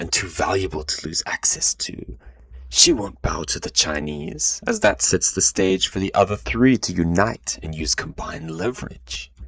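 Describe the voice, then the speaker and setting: A man's put-on character voice, very deep and low, raspy and playful in tone, at a moderate pace with a dry, close sound and no echo. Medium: read story. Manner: playful yet icy.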